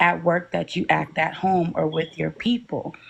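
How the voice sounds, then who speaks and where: A soft-spoken woman with a fairly low pitch, at a moderate pace. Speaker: live stream panelist. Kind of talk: casual panel discussion.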